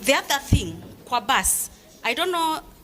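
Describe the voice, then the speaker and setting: A woman with a Kenyan accent talks at a moderate pace with lively intonation. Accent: Kenyan English with Swahili code-switching. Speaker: parent. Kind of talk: public meeting remarks. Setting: school parents meeting. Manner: loud.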